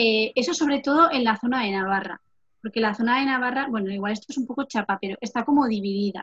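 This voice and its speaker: An unremarkable speaking voice from a woman, fairly high in pitch with ordinary pitch variation, at a fairly quick pace, in a dry, close sound with no echo. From Navarre, Spain (Lesaka, Basque-speaking area). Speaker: occupational therapy student. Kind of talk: casual interview.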